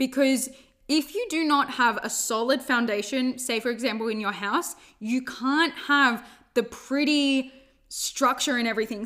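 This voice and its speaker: On a very clean recording with a silent background, a high-pitched woman with an Australian accent speaks at a moderate pace with ordinary pitch variation. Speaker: podcast host, life coach. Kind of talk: solo self-help monologue. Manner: casual, filler-heavy.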